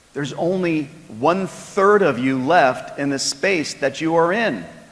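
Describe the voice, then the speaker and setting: Against noticeable background noise and audible room echo, a man with a fairly high pitch speaks at a fairly slow pace, with ordinary pitch variation. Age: 60s. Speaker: sales executive. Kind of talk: keynote speech. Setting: stage with audience.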